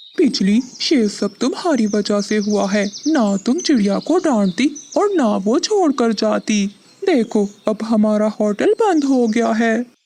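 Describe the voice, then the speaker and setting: A cartoonish character voice that sounds female has a fairly high pitch. The pace is moderate. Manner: gruff, impatient.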